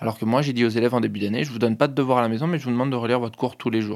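The recording is very clean with a silent background. A man speaks at medium pitch. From Paris region (Hauts-de-Seine). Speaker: high school teacher. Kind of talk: interview testimony.

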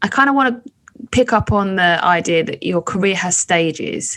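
A woman speaks with very wide swings in pitch. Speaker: burlesque performer and comedian, podcast host. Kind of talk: casual interview. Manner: animated, theatrical.

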